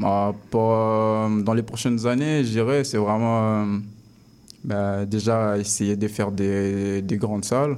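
A man speaks very slowly in a fairly low voice, with fairly even intonation and very even loudness. Audible room echo surrounds him. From Congo. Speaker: rapper. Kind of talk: interview. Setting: studio.

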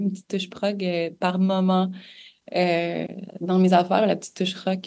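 Speaking at a fairly slow pace, a woman uses a dark, mellow tone and flat, monotone intonation. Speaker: singer-songwriter. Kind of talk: interview. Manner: hesitant, many fillers.

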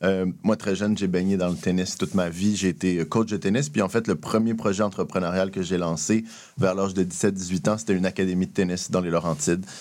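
In a very clean recording with a silent background, a man talks at a fairly quick pace in a very deep, low voice, with very even loudness and fairly even intonation. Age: 30s. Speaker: entrepreneurship program director. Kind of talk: radio interview.

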